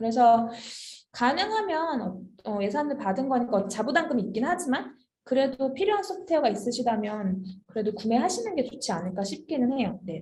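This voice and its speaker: A woman talks fairly quickly in a high voice, her pitch swinging very widely. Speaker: HR software consultant presenting a webinar. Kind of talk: webinar Q&A. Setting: online webinar.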